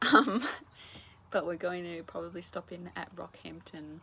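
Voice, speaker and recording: A woman whispers. She has an Australian accent. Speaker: travel vlogger. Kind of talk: casual vlog talk to camera.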